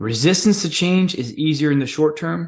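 A normal speaking voice moves at a moderate pace with lively intonation. The background is quiet. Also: man. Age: 30s. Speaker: podcast host and coach. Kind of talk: solo monologue.

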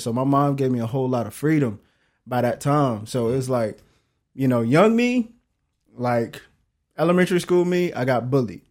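On a very clean recording with a silent background, a man talks at a fairly quick pace with a medium pitch and ordinary pitch variation. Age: 30s. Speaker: entrepreneur and father. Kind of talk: casual chat.

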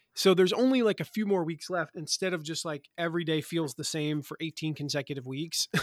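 Against a silent background in a very clean recording, a man talks at a fairly quick pace in an animated tone. His pitch is high, with ordinary pitch variation. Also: hardly any pauses, dry, close sound with no echo. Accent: American. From Eastern North Carolina. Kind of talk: casual interview.

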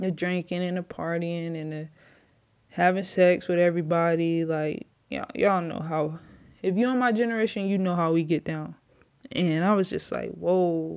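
With an American accent, a woman talks at a moderate pace with fairly even intonation. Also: fairly low pitch for a woman, quiet background. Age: 20s. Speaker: former basketball player, podcaster. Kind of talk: casual personal testimony to camera. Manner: casual with filler words and laughs.

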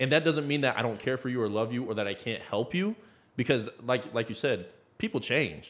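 A man with an American accent speaks at a fairly quick pace, medium pitch and ordinary pitch variation. His is a plain, everyday voice, on a very clean recording with a silent background. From Iowa, US Midwest. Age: 20s. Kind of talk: casual faith discussion.

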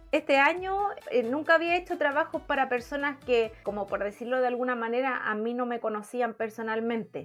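Over noticeable background noise, a woman with a Chilean accent talks at a moderate pace with hardly any pauses, her high pitch carrying lively intonation. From Chile, Villa Alemana. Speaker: crafter. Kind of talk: casual chat.

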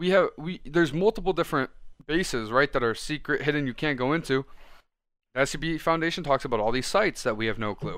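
A man speaks at a very fast pace with lively intonation and a fairly high pitch, on a very clean recording with a silent background. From Italian heritage. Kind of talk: casual chat.

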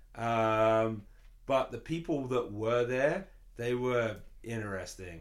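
With an English accent, a man speaks very slowly at a medium pitch and ordinary pitch variation. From London, England. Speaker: musician. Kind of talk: casual chat.

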